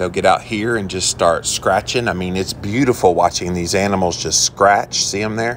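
Over light background noise, a man speaks at a moderate pace with a fairly low pitch and ordinary pitch variation. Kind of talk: casual vlog chat. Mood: relaxed, admiring. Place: garden. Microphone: phone near.

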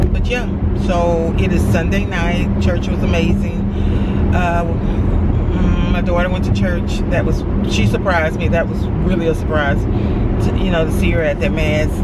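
Dry sound with no echo, set against loud background noise. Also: woman. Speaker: vlogger. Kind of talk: casual vlog chat. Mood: mildly frustrated. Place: car. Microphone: phone near.

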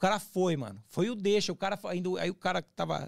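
A man speaks in an animated tone at a high pitch. The background is quiet. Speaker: former prisoner, YouTuber on resocialization. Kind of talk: casual interview, life story. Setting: studio. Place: studio. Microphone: studio mic.

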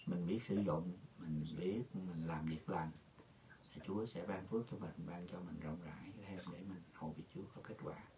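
A man's very deep, low voice, dark and mellow in tone and somewhat breathy, with fairly even intonation at a moderate pace over light background noise. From rural Vietnam. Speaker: pastor. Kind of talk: sermon. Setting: video call. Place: office.

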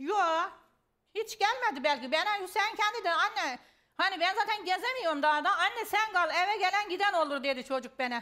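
At an extremely high pitch, a woman uses a raised, projected voice with a bright, sharp tone, lively intonation, very even loudness and a moderate pace. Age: 60s. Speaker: family member of a missing person. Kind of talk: heated debate.

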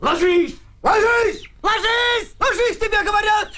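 Shouting in a put-on character voice, a man hits an extremely high pitch in a panicked tone. He keeps a fairly slow pace. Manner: panicked shouting.

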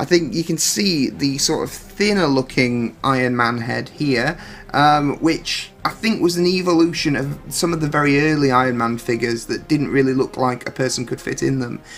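Against faint music in the background, a man talks at a moderate pace with ordinary pitch variation and hardly any pauses. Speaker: collectible figure reviewer. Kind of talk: product comparison review. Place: home room. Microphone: phone near.

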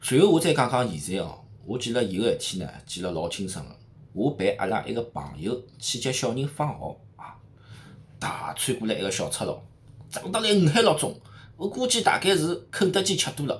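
With a Shanghai accent, a man speaks in an animated tone with vocal fry, very wide pitch swings and big swings in loudness. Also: moderate pace. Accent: Shanghainese, Shanghai-accented Mandarin. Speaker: street vlogger. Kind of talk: vlog narration. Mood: lively, humorous. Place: home room. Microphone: phone near.

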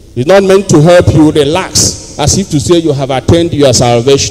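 The background is quiet as a man speaks with a Nigerian accent. He uses lively intonation. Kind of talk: homily. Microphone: handheld.

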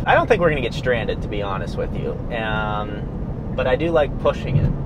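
Loud background noise surrounds a man talking at a fairly quick pace, the sound dry with no echo. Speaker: vlogger. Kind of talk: casual vlog chat. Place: car.

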